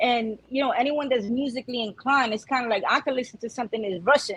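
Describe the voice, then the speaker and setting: Very fast talk from a woman with a New York accent, over noticeable background noise. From Brooklyn, New York. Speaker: Spanish-language rapper. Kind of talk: casual interview.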